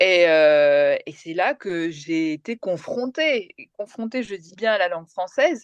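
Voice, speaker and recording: Her pitch is medium and swings very widely. The woman speaks at a very slow pace with hardly any pauses. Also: big swings in loudness, dry, close sound with no echo. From France (came from Kerala, India at age 3). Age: 40s. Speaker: TV journalist and presenter. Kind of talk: interview. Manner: hesitant, many fillers.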